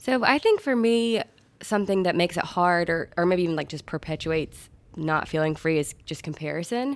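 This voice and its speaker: With a Southern US accent and a fairly low pitch, a woman talks at a fairly quick pace with lively intonation on a very clean recording with a silent background. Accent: US South. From Augusta, Georgia. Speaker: golf club employee. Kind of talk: casual chat.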